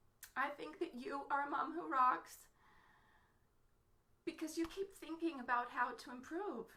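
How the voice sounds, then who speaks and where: With a bright, sharp tone and lively intonation, a woman projects her high voice at a fairly slow pace, leaving long, frequent pauses. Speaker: mother and entrepreneur vlogger. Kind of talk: motivational Facebook live talk. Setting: home office, live stream.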